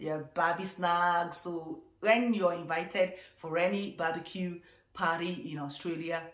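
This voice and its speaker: Amid noticeable background noise, a woman speaks fairly slowly at a fairly low pitch with fairly even intonation. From Nigeria. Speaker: vlogger. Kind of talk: casual talk to camera.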